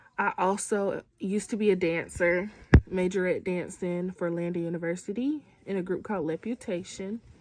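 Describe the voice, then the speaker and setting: The speaker has a normal speaking voice and keeps a moderate pace. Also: woman. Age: 20s. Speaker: student. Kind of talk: casual chat.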